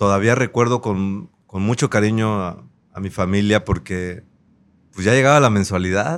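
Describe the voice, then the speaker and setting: Recorded very cleanly over a silent background, a man with an ordinary speaking voice and fairly low pitch talks at a moderate pace, with ordinary pitch variation and big swings in loudness. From Acapulco, Guerrero, Mexico. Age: 30s. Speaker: politician. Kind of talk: interview.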